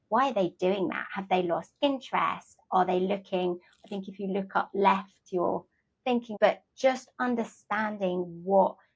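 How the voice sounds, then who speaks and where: With a plain, everyday voice, a woman speaks at a moderate pace in a medium pitch with ordinary pitch variation. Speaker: podcast host. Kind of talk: podcast interview.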